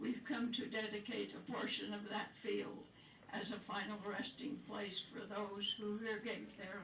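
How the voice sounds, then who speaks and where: Noticeable background noise surrounds a woman's voice at a medium pitch. She speaks at a fairly slow pace. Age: 80s+. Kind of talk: poetry reading.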